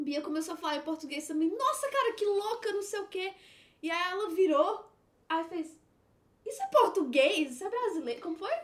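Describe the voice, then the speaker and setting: A woman's voice at an extremely high pitch, with very wide pitch swings. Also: moderate pace. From Brazil. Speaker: guest. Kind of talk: casual chat.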